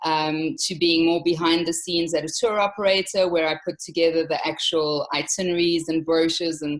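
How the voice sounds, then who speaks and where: A woman with a South African accent speaks at a fairly quick pace in a fairly low pitch, her intonation monotone and flat, with hardly any pauses. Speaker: travel company owner. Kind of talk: interview. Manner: hesitant, many fillers.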